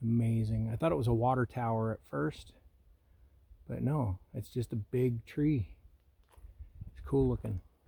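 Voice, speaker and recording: Long pauses come often, though the talking between them runs at a moderate pace. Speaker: hiking vlogger. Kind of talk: casual vlog narration while hiking. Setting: outdoors on a forest trail. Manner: loud.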